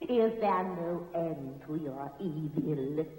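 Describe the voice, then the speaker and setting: A cartoonish character voice, female-sounding and very deep and low in pitch, at a very slow pace with clear echo. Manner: imperious.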